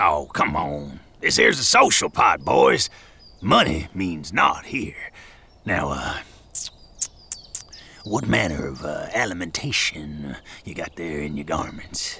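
A raspy man's voice, very deep and low, at a fairly slow pace. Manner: jovial, florid, showman-like.

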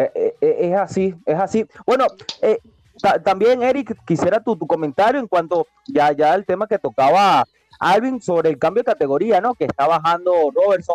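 In a dry, close sound with no echo, a man speaks at a high pitch with lively intonation. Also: moderate pace. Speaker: combat sports radio host. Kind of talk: radio talk show.

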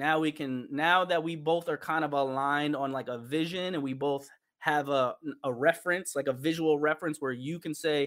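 A man with a New York accent speaks at a fairly high pitch. His intonation stays fairly even. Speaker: visual artist and musician. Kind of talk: casual interview.

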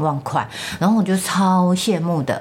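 A woman with a Taiwanese accent. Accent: Taiwanese Mandarin. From Taiwan, rural Changhua County. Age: 50s. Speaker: mother of the host. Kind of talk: casual family interview. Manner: put-on careful retroflex enunciation.

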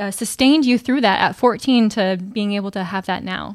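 A woman with a normal speaking voice talks at medium pitch and a moderate pace on a very clean recording with a silent background. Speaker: podcast co-host. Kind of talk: casual interview. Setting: studio.

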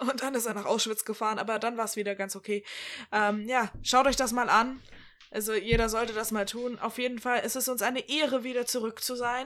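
A woman with an animated tone, fairly high pitch and fairly quick pace. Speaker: podcast co-host. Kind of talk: casual chat.

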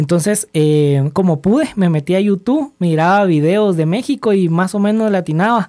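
The voice has a dark, mellow tone and ordinary pitch variation, speaking in a Guatemalan accent on a very clean recording with a silent background. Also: man. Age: 30s. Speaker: small business owner. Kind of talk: personal testimony in interview. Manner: halting with fillers.

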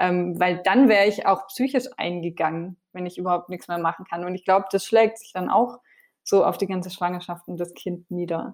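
Speaking at a moderate pace, a woman has a plain, everyday voice at medium pitch with ordinary pitch variation. Her loudness swings widely. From France. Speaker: TV cook and vegan cookbook author. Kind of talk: casual interview.

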